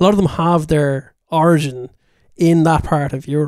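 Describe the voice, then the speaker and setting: A man talks at a moderate pace with a fairly high pitch in an ordinary speaking voice. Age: 30s. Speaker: podcast co-host. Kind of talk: casual chat.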